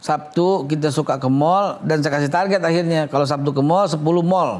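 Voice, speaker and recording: A man with a Jakarta accent talks at a fairly quick pace in a fairly high pitch, with ordinary pitch variation and very even loudness. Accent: Betawi. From Jakarta, Betawi. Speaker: head of a government agency. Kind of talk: TV interview. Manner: animated.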